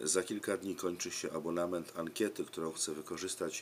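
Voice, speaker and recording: The man's pitch is very deep and low, with fairly even intonation. He talks at a moderate pace over light background noise. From Poland. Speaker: preschool religion teacher. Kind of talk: direct-to-camera appeal for survey. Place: home room. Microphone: webcam.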